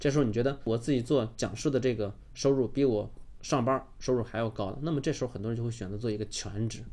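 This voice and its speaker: His tone is dark and mellow. The man speaks at a very fast pace. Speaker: online course instructor. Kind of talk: lecture.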